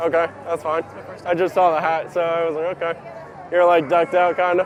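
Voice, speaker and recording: Over noticeable background noise, a man talks at a fairly quick pace in a high pitch with monotone, flat intonation. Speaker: YouTuber vlogger. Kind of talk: casual vlog narration and street interview. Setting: outdoors at a shopping district.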